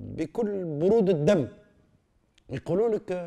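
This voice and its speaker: Over a quiet background, a man with a Tunisian accent speaks very slowly in a dark, mellow tone. His pitch swings very widely. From Tunisia, Tunis. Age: 70s. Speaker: philosopher; interviewee. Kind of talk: interview. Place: home room.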